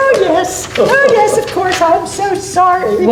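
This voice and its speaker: A woman puts on a squeaky character voice at an extremely high pitch, speaking at a fairly slow pace. Loud background noise and a slight echo surround her. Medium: stage play. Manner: genteel, giggly.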